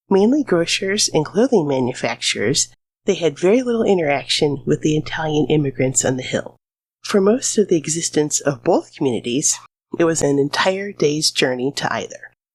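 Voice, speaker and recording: A woman with a Midwestern accent speaks at a moderate pace. Her voice is very deep and low, with very wide pitch swings. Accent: American Midwestern. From US Midwest. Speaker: history podcast host. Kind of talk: scripted narration.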